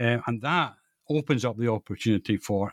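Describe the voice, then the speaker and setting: A Scottish-accented man speaks at a medium pitch with lively intonation. The recording is very clean and dry, close with no echo, over a silent background. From Scotland, East Central (East Lothian, Fife, Perthshire). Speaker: author, retired biologist. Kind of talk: interview. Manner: halting, many fillers and repetitions.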